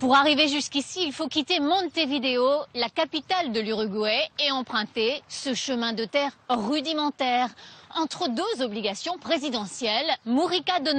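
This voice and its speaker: Lively intonation with hardly any pauses, against noticeable background noise. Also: woman. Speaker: TV reporter. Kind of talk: TV news report narration.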